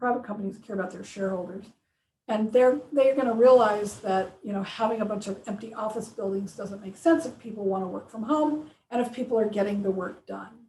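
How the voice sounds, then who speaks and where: The loudness swings widely in a normal speaking voice. Pitch varies in an ordinary way at a fairly quick pace. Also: woman, fairly high pitch for a woman. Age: 60s. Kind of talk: casual interview.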